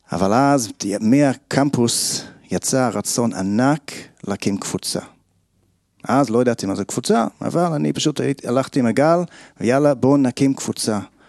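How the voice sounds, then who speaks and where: Against a quiet background, a man with a medium pitch speaks with lively intonation and long, frequent pauses, in a dry, close sound with no echo. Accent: English. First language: English (speaking Hebrew). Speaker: kabbalah group founder. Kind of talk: personal testimony. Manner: halting.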